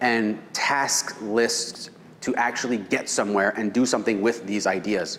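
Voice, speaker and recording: A man talks at a fairly slow pace with a medium pitch, fairly even intonation and very even loudness. Audible room echo and noticeable background noise are present. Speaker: real estate seminar presenter. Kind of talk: seminar lecture.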